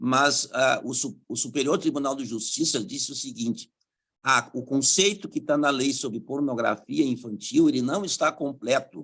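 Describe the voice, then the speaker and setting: A man talks in an ordinary speaking voice at a fairly high pitch. His pitch variation is ordinary. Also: moderate pace. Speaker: public prosecutor, conference panelist. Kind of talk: conference talk with slides.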